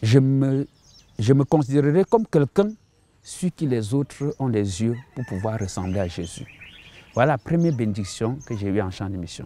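In a dry sound with no echo, a man speaks at a moderate pace with a dark, mellow tone. His intonation is lively, and he takes long, frequent pauses. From Cameroon (Bamenda, anglophone northwest); Cameroon. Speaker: missionary pastor. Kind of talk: testimony. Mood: earnest, reflective testimony. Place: garden. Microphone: lapel.

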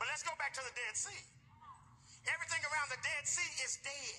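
A man's raised, projected voice at a fairly quick pace, with ordinary pitch variation and music in the background. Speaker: preacher. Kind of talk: sermon. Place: church.

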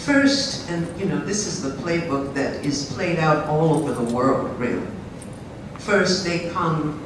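Amid noticeable background noise and audible room echo, a woman with a very deep, low pitch speaks at a fairly slow pace. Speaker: historian. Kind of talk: lecture. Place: hall.

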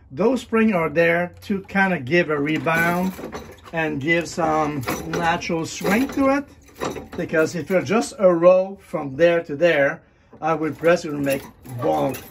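The speech comes at a fairly slow pace over noticeable background noise. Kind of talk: tutorial. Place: workshop. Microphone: phone near.

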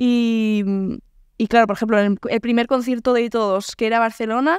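Speech comes at a moderate pace against a quiet background. The sound is dry, with no echo. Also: woman. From Navarre, Spain (Pamplona); Navarre, Spain. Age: 20s. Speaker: singer; podcast guest. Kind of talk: casual interview. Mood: relaxed, anecdotal. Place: home room. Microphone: studio mic.

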